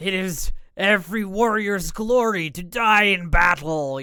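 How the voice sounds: A man puts on a character voice, high in pitch. He talks at a fairly slow pace.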